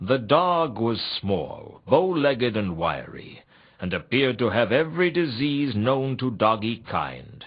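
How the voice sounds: A man does a put-on character voice at medium pitch with a slightly husky edge, taking a slow pace with few pauses and big pitch swings.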